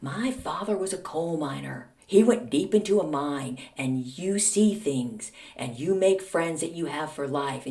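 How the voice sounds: A put-on character voice at middle pitch. It moves at a moderate pace.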